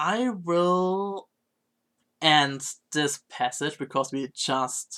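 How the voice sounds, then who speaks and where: A man's bright, sharp tone with ordinary pitch variation, in a very clean recording with a silent background. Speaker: variety streamer. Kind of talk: casual live-stream chat. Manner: halting, self-correcting.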